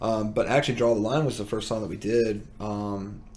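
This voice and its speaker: A man speaks at a medium pitch with audible room echo. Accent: slight Southern US. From US South. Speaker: musician. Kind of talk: casual chat.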